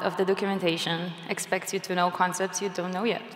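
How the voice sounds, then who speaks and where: Speaking fairly quickly with a non-native accent, a woman is heard amid audible room echo. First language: not English. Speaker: software engineer and conference speaker. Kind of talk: conference talk. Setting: stage with audience.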